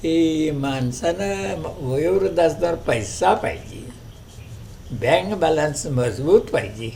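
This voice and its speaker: A man speaks in a fairly high pitch with very wide pitch swings and big swings in loudness. Noticeable background noise and audible room echo fill the recording. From Kolhapur district, Maharashtra. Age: 80s+. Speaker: retired schoolteacher. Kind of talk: interview.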